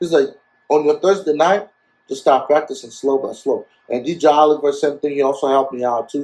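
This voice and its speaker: The man's pitch varies in an ordinary way as he talks fairly quickly. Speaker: DJ and MC. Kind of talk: casual interview.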